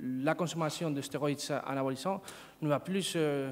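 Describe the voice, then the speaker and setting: Speaking with a Spanish accent, a man uses a fairly high pitch with ordinary pitch variation. His pace is fairly slow. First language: Spanish (speaking French). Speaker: sociology professor. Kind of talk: conference talk. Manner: halting, many hesitations and repetitions.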